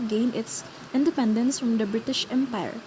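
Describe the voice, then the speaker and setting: Over noticeable background noise, a woman with a non-native accent speaks at a high pitch and a moderate pace. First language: not English. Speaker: student presenter. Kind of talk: scripted class presentation.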